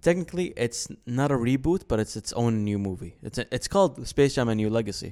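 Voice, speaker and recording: A man with an Arabic accent speaks at a fairly quick pace with hardly any pauses. His medium-pitched voice has a dark, mellow tone and lively intonation. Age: 20s. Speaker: podcast co-host. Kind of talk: casual chat.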